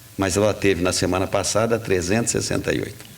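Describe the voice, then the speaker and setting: A man talks over noticeable background noise. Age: 70s. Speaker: radio host. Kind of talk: talk radio commentary. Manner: halting.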